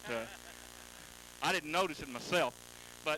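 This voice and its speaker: A man with a Texan accent, fairly high in pitch, with ordinary pitch variation. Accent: Texan drawl. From Houston, Texas. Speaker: sprint car driver. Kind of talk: trackside interview.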